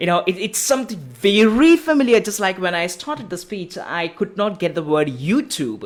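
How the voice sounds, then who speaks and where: The pace stays moderate, with hardly any pauses. Background noise is noticeable. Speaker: talk series host. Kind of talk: live online talk, asking a question. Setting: live online talk. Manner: halting, searches for words.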